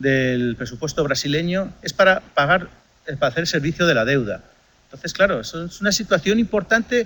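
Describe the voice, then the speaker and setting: A man speaks at a fairly quick pace in a high voice with lively intonation. His tone is bright and sharp, and his loudness swings widely. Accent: Spanish. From Spain. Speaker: economics lecturer. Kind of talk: lecture.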